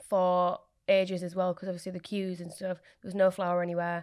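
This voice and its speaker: A woman with a Yorkshire accent speaks at a moderate pace and medium pitch, in a very clean recording with a silent background. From Leeds area, England. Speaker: small business owner, baker. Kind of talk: casual interview chat. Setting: studio.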